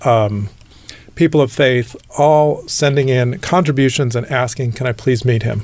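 Somewhat breathy delivery in an American accent, the intonation fairly even. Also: man. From Southern California (Whittier). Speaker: nonprofit executive and LGBT fundraiser. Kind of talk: interview.

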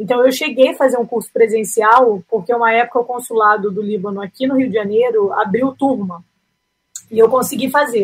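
An ordinary speaking voice with ordinary pitch variation at a fairly quick pace. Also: woman, fairly high pitch for a woman. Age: 30s. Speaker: aspiring missionary, family photographer. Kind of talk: interview.

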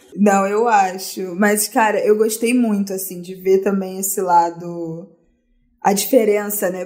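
Woman with a Carioca accent, medium pitch, monotone, flat intonation, a fairly slow pace, and big swings in loudness. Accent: carioca Brazilian Portuguese. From Rio de Janeiro, Brazil (Zona Norte). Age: 20s. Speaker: podcast guest. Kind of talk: casual chat.

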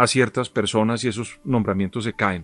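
In a quiet background, a man with a Colombian accent talks at a moderate pace and medium pitch with ordinary pitch variation, the sound dry and close with no echo. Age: 50s. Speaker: political analyst. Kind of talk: interview commentary.

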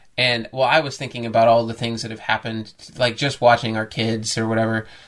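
At a fairly quick pace, a man with an American accent talks at a medium pitch. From US Midwest. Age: 30s. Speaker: podcast co-host, host's husband. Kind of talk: casual chat.

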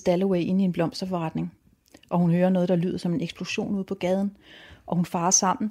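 On a very clean recording with a silent background, a woman with a dark, mellow tone speaks at a moderate pace. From Denmark, Rødby on Lolland. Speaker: novelist. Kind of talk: interview about books and reading. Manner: halting, with frequent fillers and restarts.

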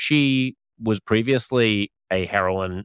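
A man with an Australian accent speaks at a fairly low pitch, with ordinary pitch variation. The recording is very clean, with a silent background and a dry, close sound with no echo. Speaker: podcast host. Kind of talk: casual chat. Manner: animated.

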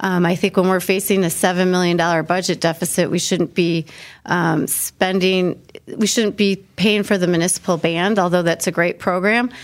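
Speaking at a moderate pace with fairly even intonation, a woman at medium pitch has a plain, everyday voice on a very clean recording with a silent background. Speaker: city council member. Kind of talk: interview.

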